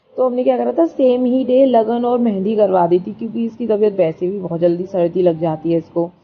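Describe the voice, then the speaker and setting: A woman speaks at medium pitch with very wide pitch swings and hardly any pauses. Noticeable background noise is present. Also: moderate pace. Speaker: vlogger. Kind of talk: casual vlog narration.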